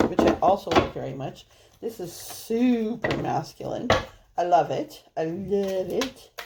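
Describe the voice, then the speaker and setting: A woman with a medium pitch speaks at a fairly slow pace, her intonation lively and her loudness swinging widely. Background noise is noticeable. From Canada. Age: 50s. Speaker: tarot reader. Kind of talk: tarot reading monologue. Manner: rambling casual chatty.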